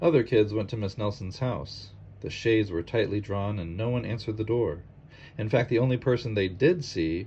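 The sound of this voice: It is an unforced reading voice. The pitch varies in an ordinary way.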